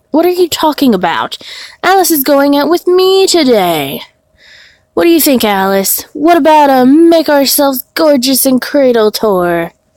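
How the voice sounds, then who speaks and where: A woman performs a put-on character voice, high-pitched and swinging very widely in pitch. She keeps a moderate pace at a very even loudness. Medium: game stream.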